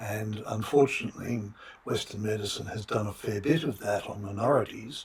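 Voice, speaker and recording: Against noticeable background noise, a man with an Australian accent talks at a medium pitch. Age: 60s. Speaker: philosophy of biology professor. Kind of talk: interview. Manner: halting, many fillers.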